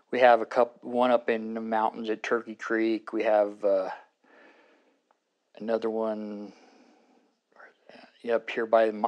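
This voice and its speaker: A man with an American accent, medium pitch and monotone, flat intonation at a fairly slow pace, with long, frequent pauses over a quiet background. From Arizona. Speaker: community member. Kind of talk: interview answer. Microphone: lapel.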